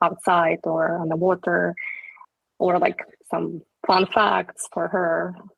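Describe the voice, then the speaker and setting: A woman with a non-native accent and vocal fry. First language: not English. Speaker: company employee on panel. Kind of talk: casual panel discussion.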